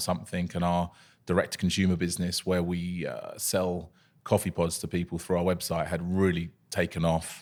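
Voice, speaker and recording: Very deep and low, this man's voice carries a southern English accent. He keeps a moderate pace. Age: 30s. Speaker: coffee company founder. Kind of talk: podcast interview. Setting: studio.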